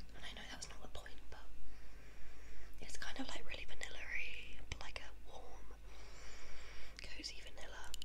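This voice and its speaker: A woman whispers, soft-spoken. Loud background noise surrounds her. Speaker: ASMR creator. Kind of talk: ASMR triggers video, casual talk to camera. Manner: soft-spoken, casual, whispery. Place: home room. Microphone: phone near.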